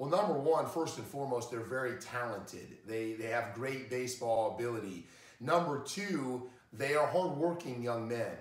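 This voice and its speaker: A man talks at a moderate pace, and audible room echo follows his voice. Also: ordinary pitch variation. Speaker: college baseball coach. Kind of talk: interview answers. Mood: warm, praising.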